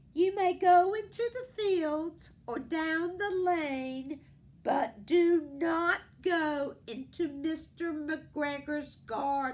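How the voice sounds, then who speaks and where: A woman performs a put-on character voice at an extremely high pitch and a very slow pace. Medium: read story.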